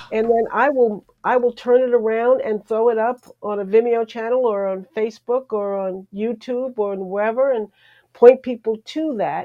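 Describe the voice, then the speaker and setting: A woman speaks in an unremarkable speaking voice at a fairly high pitch. Her pace is moderate. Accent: American. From New York area. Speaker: television journalist and producer. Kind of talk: interview. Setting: live stream.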